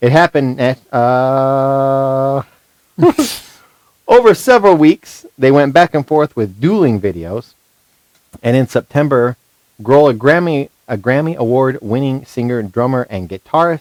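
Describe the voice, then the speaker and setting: A man's plain, everyday voice, medium in pitch with ordinary pitch variation, at a fairly slow pace, in a dry, close sound with no echo. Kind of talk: casual chat; reading aloud.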